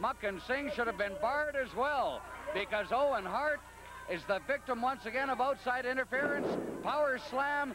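An excited man speaks at an extremely high pitch in a raised, projected voice. Clear music plays behind him, and the sound is dry with no echo. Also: ordinary pitch variation, moderate pace. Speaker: wrestling color commentator. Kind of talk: live wrestling commentary. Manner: analytical, emphatic, excited as action builds.

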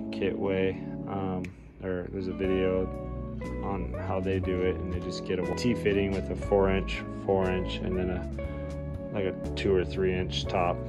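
Clear music plays in the background as a man talks at a moderate pace. He leaves long, frequent pauses. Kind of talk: casual DIY commentary. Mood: frustrated, unimpressed. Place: garage. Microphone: phone near.

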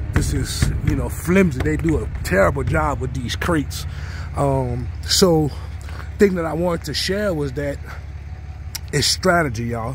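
Against noticeable background noise, a man speaks at a fairly slow pace with long, frequent pauses, in a dry sound with no echo. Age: 30s. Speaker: hotshot truck driver and vlogger. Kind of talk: casual vlog. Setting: outdoors by his trailer. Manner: relaxed, many fillers. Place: street. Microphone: phone near.

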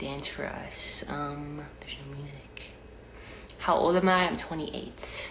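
A woman whispers at a very slow pace, her loudness swinging widely. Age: 20s. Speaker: live streamer. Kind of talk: casual chat. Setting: home kitchen. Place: home room. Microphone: phone near.

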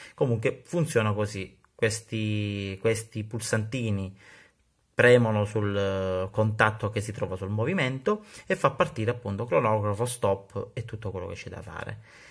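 A man's fairly low, somewhat breathy voice shows big swings in loudness against a quiet background. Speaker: watch hobbyist YouTuber. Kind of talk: tutorial. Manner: casual, hesitant with fillers. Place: workshop. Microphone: phone near.

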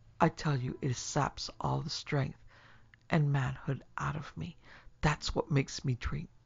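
A put-on character voice with vocal fry and a slightly husky edge. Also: man, fairly high pitch for a man, fairly even intonation, fairly slow pace.

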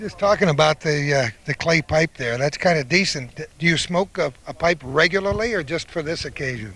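A man's fairly high voice with an American accent, fairly quick with hardly any pauses, lively intonation, a bright, sharp tone and a dry sound with no echo. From northern New York. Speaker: local TV host and interviewer; local TV host, interviewer. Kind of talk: on-location event coverage and interviews. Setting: outdoors at a commemoration ceremony. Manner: chatty, jovial. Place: open country. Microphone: handheld.

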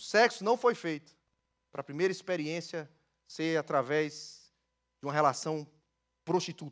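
Against a quiet background, a man with a fairly high pitch and ordinary pitch variation speaks at a moderate pace with long, frequent pauses. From Brazil, Ceará (Northeast). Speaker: pastor. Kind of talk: sermon. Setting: church. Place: church. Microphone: headset.

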